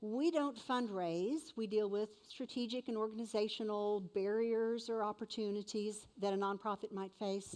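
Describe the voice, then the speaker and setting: In an ordinary speaking voice, a woman speaks at a moderate pace with fairly high pitch and fairly even intonation. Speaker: event emcee. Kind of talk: event announcements.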